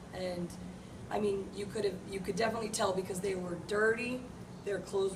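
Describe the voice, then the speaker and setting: A woman's medium-pitched voice with an American accent, monotone and flat, with audible room echo and noticeable background noise. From United States. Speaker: children's home caregiver volunteer. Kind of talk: interview testimony.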